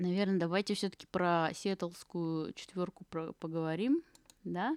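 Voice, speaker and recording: A woman speaks at a very slow pace in a very clean recording with a silent background and a dry, close sound with no echo. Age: 20s. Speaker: podcast host. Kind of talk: casual solo podcast talk. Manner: rambling with many fillers.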